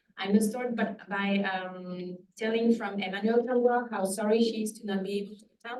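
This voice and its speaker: A woman speaks at medium pitch. Room echo is audible. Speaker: epidemiologist, researcher. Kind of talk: lecture. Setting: lecture hall with audience. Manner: fast.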